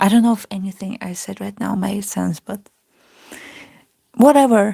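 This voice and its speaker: A woman's medium-pitched voice with a dark, mellow tone and a non-native accent, in a dry, close sound with no echo. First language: not English. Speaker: artist. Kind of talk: casual chat. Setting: live stream.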